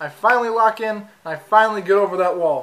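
A man's raised, projected voice with ordinary pitch variation. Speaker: student vlogger. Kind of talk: casual vlog chat. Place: kitchen.

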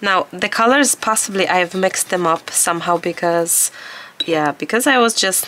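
Noticeable background noise runs throughout. The talking proceeds at a moderate pace. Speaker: art supply reviewer. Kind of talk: product review tutorial. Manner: halting.

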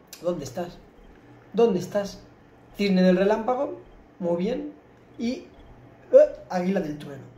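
There is audible room echo as a man speaks at a fairly slow pace. His pitch is high, with ordinary variation. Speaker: gamer streamer. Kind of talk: gameplay commentary. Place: home room.

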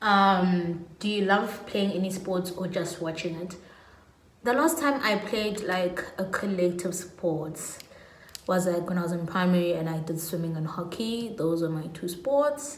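A woman with a South African accent speaks amid light background noise and audible room echo. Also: ordinary pitch variation, fairly slow pace. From South Africa, Pietermaritzburg, KwaZulu-Natal. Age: 20s. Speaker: lifestyle YouTuber. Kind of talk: casual vlog monologue. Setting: at home. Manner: animated. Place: home room. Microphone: phone near.

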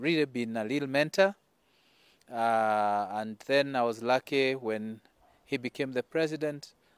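Against a quiet background, the dry, echo-free voice moves at a very slow pace with ordinary pitch variation. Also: man. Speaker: politician giving tribute. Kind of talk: condolence statement. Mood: somber, mourning. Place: garden.

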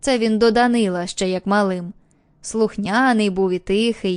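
A woman of medium pitch speaks at a fairly slow pace with ordinary pitch variation in an unremarkable speaking voice. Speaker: audiobook narrator. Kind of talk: audiobook reading of an old fisherman telling a story, in character.

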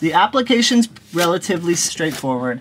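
Light noise sits behind speech that proceeds at a moderate pace. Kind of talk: tutorial. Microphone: phone near.

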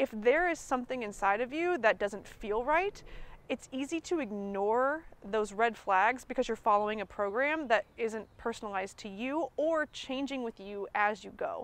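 A woman talks at a moderate pace with lively intonation. The sound is dry with no echo. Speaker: nutrition coach. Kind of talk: coaching conversation. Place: garden. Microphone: lapel.

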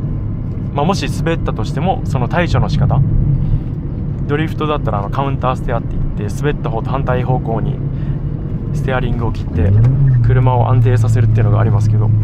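A man speaks fairly quickly, his sound dry with no echo, while loud background noise fills the clip. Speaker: driver vlogger. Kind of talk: casual driving commentary. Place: car. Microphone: phone near.

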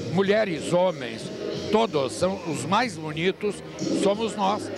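Recorded with a dry sound and no echo, a man talks at a fairly slow pace over noticeable background noise. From Pelotas, Rio Grande do Sul, Brazil. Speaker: TV presenter and society columnist. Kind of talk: interview answer. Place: hall. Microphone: handheld.

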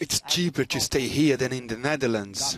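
This is a man with an unremarkable speaking voice. He talks at a fairly quick pace. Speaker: news anchor. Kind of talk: news reading.

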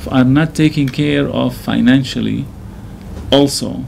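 A man speaks very slowly with a Syrian accent. Light background noise is audible. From Syria, Damascus. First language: Arabic. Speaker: imam. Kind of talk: interview. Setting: studio. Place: studio.

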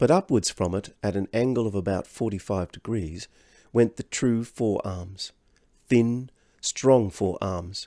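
Ordinary pitch movement in a natural reading voice

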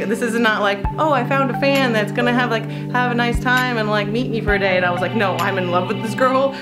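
A woman talks at a fairly quick pace over loud background music. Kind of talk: casual vlog chat. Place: empty room. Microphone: phone near.

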